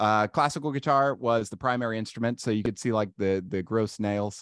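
Speaking fairly quickly at a medium pitch, a man with a Midwestern American accent sounds dry and close with no echo over a quiet background. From Ohio, US. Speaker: marketing consultant. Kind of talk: casual interview.

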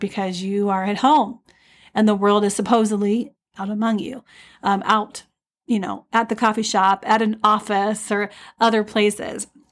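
A woman at medium pitch and a moderate pace, with monotone, flat intonation and a very clean recording on a silent background. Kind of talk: solo podcast talk. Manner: hesitant, many fillers.

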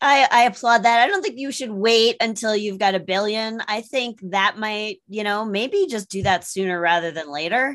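With hardly any pauses, a woman speaks in a normal speaking voice at a moderate pace, her pitch fairly high and her pitch variation ordinary. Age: 50s. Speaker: sales coach and stand-up comedian. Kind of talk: interview.

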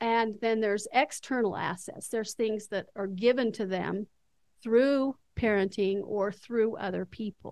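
A woman with an unremarkable speaking voice, fairly high pitch, fairly even intonation, and a fairly slow pace. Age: 60s. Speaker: retired school counselor. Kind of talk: casual interview conversation.

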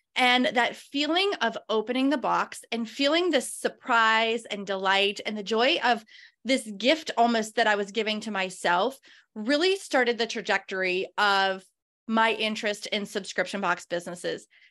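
On a very clean recording with a silent background, a woman speaks in a fairly high pitch with a bright, sharp tone and ordinary pitch variation. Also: moderate pace. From Pittsburgh, Pennsylvania area. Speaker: business coach. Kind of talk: interview.

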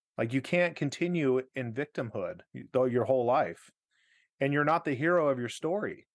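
An unremarkable speaking voice comes from a man with a fairly high pitch and ordinary pitch variation. He keeps a moderate pace against a quiet background. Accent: American. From Arizona. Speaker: pastor. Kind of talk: casual interview.

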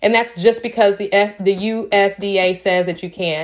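Moving at a moderate pace, a woman talks with medium pitch and ordinary pitch variation. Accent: Tennessee. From Tennessee. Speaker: small farmer and entrepreneur. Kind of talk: casual vlog monologue.

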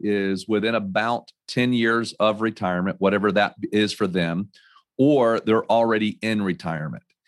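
In an American accent, a man talks with an unremarkable speaking voice and ordinary pitch variation. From North Carolina. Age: 40s. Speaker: financial advisor. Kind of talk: interview. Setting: office.

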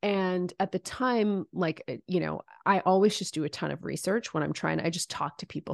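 Against a quiet background, a woman with a normal speaking voice and a fairly low pitch speaks at a moderate pace in a dry, close sound with no echo. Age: 40s. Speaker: business coach and founder. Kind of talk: interview.

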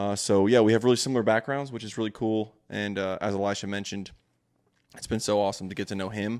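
Here a man talks at a very fast pace. His fairly low voice keeps a flat, monotone intonation. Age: 20s. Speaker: entrepreneur and father. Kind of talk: casual chat. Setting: studio.

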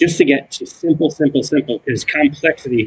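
This man's voice is somewhat breathy. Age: 40s. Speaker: ADHD coach, former construction manager. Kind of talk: casual interview chat.

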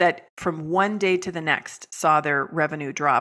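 A bright, sharp tone from a woman with a very deep, low pitch and a Californian accent. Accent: Californian American. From US West Coast, San Francisco Bay Area. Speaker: business coach and author. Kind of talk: podcast interview.

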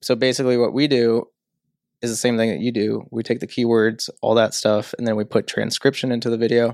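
The speaker has an American accent and a flat, monotone delivery at a fairly quick pace. The sound is dry and close, without echo. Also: man, medium pitch for a man. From St. Louis area, US Midwest. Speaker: entrepreneur, media studio co-founder. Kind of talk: casual interview chat.

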